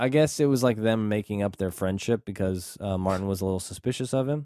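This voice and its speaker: On a very clean recording with a silent background, a man speaks very fast with hardly any pauses, in a fairly low pitch and a dark, mellow tone. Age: 30s. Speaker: movie podcast co-host. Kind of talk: casual chat.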